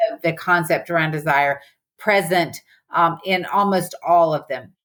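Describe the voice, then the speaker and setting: On a very clean recording with a silent background, a woman with a Southern US accent talks fairly slowly at a fairly low pitch, with ordinary pitch variation. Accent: Southern US, noticeable. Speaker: business professor and psychologist. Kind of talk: podcast interview.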